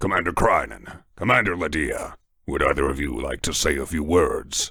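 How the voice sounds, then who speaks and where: A man's put-on character voice, raspy and very deep, at a moderate pace. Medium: read story. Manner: solemn, measured.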